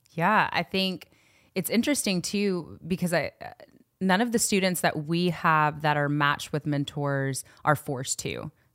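In a slight Southern US accent, a woman with a fairly low pitch speaks on a very clean recording with a silent background. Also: ordinary pitch variation, dry, close sound with no echo. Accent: little Southern twang. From Knoxville, Tennessee. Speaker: youth ministry worker. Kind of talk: casual interview.

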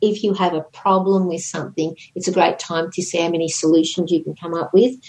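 Fairly even intonation runs through a plain, everyday voice. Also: woman. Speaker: podcast co-host, astrology commentator.

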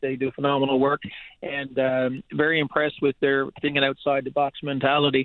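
A man speaks with a Newfoundland accent. His pitch is fairly high. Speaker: teachers' union president. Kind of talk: radio interview. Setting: phone call.

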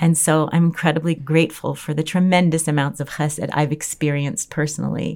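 In a Chicago accent, a woman speaks with very deep, low pitch and flat, monotone intonation. She keeps a fairly quick pace with hardly any pauses. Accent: American, Chicago. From US Midwest, Chicago. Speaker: Torah teacher and legal advisor. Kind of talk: interview.

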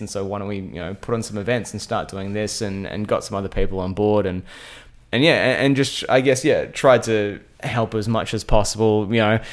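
Using an Australian accent, a man speaks at a fairly quick pace and a medium pitch with fairly even intonation. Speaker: radio host. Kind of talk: casual interview chat. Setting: home. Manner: fast talker.

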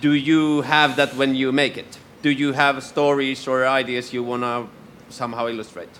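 The speaker has a Finnish accent and a monotone, flat intonation. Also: man, medium pitch for a man, moderate pace. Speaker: radio host. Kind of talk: live interview. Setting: stage with audience.

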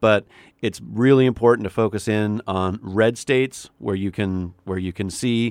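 In a Canadian accent, a man with an ordinary speaking voice and fairly low pitch talks at a moderate pace with fairly even intonation, the sound dry and close with no echo on a very clean recording with a silent background. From Canada. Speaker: political commentator. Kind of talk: casual political discussion on radio.

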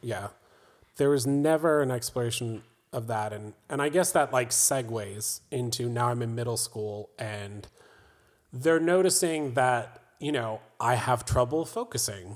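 A man with an American accent and a normal speaking voice, medium in pitch, at a fairly slow pace with ordinary pitch variation, in a very clean recording with a silent background. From US South, North Carolina. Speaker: film producer. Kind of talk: interview about personal history.

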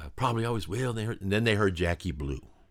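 Fairly low male speech, very clean recording, silent background. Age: 60s. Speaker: musician and songwriter. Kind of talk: interview conversation. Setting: recording studio.

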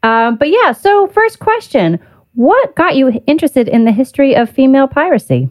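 A woman speaks at a moderate pace in a high voice, her loudness very even while her pitch swings very widely. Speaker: podcast host. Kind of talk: casual interview chat.

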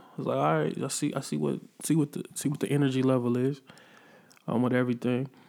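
Speaking very fast with an American accent, a man has a medium-pitched voice, a dark, mellow tone and lively intonation. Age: 30s. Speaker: podcast host and rapper. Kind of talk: casual solo commentary.

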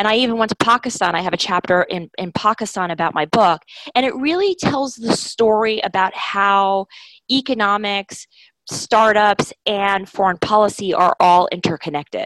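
Speaking with an American accent, a woman uses a normal speaking voice at a medium pitch with ordinary pitch variation and a moderate pace. The sound is dry and close, with no echo. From New York, Brooklyn. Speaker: foreign policy organization CEO. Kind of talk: interview.

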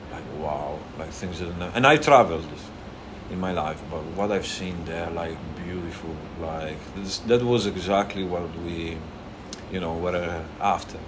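In an Italian accent, a man with a very deep, low pitch talks at a fairly slow pace, his loudness swinging widely, amid audible room echo and noticeable background noise. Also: ordinary pitch variation. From Italy, Emilia-Romagna. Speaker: restaurant owner. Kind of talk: casual chat. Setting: restaurant.

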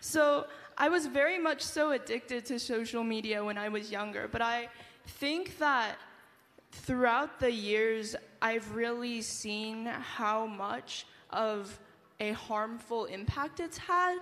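Audible room echo surrounds a woman speaking at a fairly high pitch. She goes at a very slow pace with ordinary pitch variation. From United States. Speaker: university student. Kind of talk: panel discussion. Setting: stage with audience.

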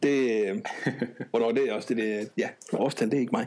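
A man talks at a fairly quick pace, his medium-pitched voice showing ordinary pitch variation. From Denmark, Odense. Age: 30s. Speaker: programmer. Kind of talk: casual chat.

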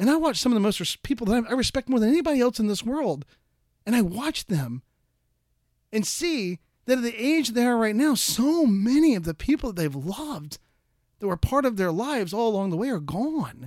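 In a very clean recording with a silent background, a man talks at a fairly quick pace with extremely high pitch, very wide pitch swings and an animated tone, the sound dry and close with no echo. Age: 40s. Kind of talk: solo podcast monologue. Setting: home recording during shelter in place.

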